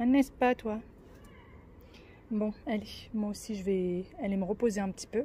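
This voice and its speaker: A soft-spoken woman talks at a fairly slow pace. Her tone is dark and mellow, with ordinary pitch variation. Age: 30s. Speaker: family vlogger. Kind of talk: casual vlog monologue. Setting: in a car.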